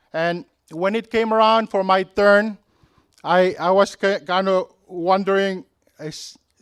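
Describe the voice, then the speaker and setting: Fairly slow and with fairly even intonation, a man with a Micronesian accent speaks at a high pitch, the sound dry and close without echo. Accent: Micronesian (Pohnpeian) English. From Micronesia (Pohnpei). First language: Pohnpeian. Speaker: commencement keynote speaker, alumnus. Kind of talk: commencement speech. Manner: halting, with fillers.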